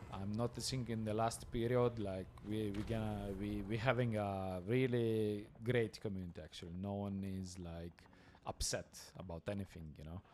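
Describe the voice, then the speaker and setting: With an Italian accent, a man speaks at a moderate pace. His pitch is fairly low and his intonation fairly even. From Italy. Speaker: esports co-caster. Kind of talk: live esports commentary. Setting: LAN event with live crowd.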